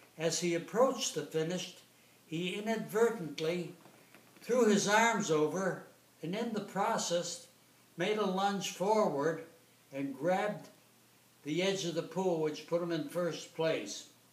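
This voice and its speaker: A man's high-pitched, fairly slow speech with ordinary pitch variation and long, frequent pauses, amid noticeable background noise and audible room echo. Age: 90s. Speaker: retired competitive swimmer. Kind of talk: informal lecture. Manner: halting.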